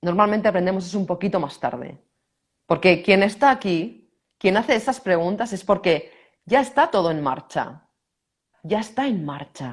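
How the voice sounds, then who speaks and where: A woman in a Castilian accent at medium pitch and moderate pace, with very wide pitch swings, in a very clean recording with a silent background. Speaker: personal growth teacher. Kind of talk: conversational teaching talk.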